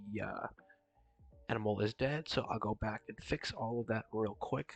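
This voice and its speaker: A soft-spoken man with a fairly low pitch talks over music in the background, with a dry, close sound and no echo. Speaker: game developer vlogger. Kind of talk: tutorial.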